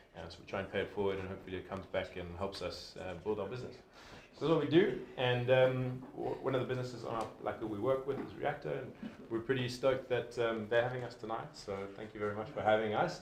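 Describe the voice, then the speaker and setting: There is audible room echo and noticeable background noise. A man talks at a very fast pace, with medium pitch and ordinary pitch variation. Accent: South African. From South Africa. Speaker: sponsor representative, community lead. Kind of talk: event sponsor speech. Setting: meetup with live audience, livestreamed. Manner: casual, filler-heavy.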